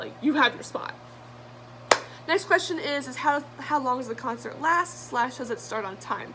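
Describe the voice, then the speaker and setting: Lively intonation and big swings in loudness mark a woman's high-pitched voice, heard over noticeable background noise. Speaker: fan vlogger. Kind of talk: Q&A vlog, casual talk to camera. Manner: fast; many fillers, um and like.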